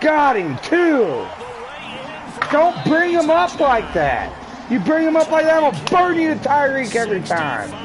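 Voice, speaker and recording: Amid noticeable background noise and audible room echo, a man with an extremely high pitch speaks at a fairly slow pace with lively intonation and very even loudness. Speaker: gaming streamer. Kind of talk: gameplay commentary. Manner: animated.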